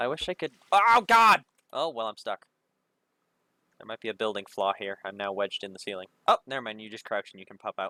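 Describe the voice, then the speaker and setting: A loud man talks at a fairly quick pace, with long, frequent pauses. The sound is dry and close, with no echo. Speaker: gaming streamer. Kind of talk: casual chat. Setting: livestream with voice chat.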